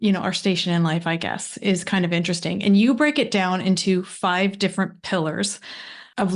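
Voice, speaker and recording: An ordinary speaking voice from a woman with a Canadian accent, medium in pitch, fairly even in intonation and moderate in pace, with a quiet background. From Canada. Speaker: podcast host. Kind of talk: interview conversation.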